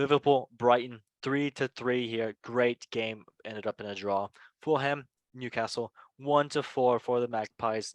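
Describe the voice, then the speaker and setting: A man with a non-native accent talks at a moderate pace with fairly even intonation, in a dry, close sound with no echo and a quiet background. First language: not English. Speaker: football podcast host. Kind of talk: casual chat.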